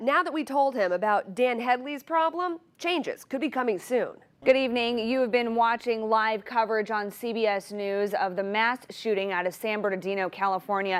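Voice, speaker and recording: A woman's ordinary speaking voice, fairly high in pitch, with lively intonation at a moderate pace. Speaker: TV news anchor and reporter. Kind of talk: TV news anchor delivery. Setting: TV newsroom studio. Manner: polished, professional, clear.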